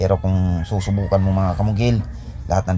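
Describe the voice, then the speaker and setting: Here a man talks at a fairly quick pace with a fairly low pitch. There is noticeable background noise. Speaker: construction contractor and vlogger. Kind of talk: casual vlog narration.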